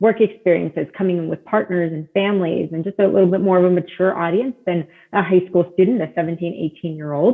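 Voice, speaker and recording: A woman with a plain, everyday voice speaks at a fairly quick pace. Her pitch is medium and her intonation fairly even. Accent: American. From US South, South Florida. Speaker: admissions director. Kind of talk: podcast interview.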